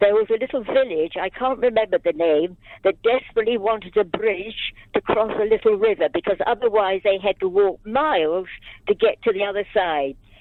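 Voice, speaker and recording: A woman speaks at a fairly quick pace. Noticeable background noise runs underneath. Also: medium pitch for a woman, ordinary pitch variation. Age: 90s. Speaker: caller. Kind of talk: phone-in call. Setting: phone call.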